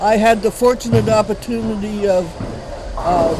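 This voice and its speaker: With an Ontario accent, the speaker keeps a moderate pace and fairly even intonation, amid audible room echo and noticeable background noise. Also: man. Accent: Canadian (Ontario). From Ontario, Canada (Sarnia area). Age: 70s. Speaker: veteran amateur bowler. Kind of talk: interview.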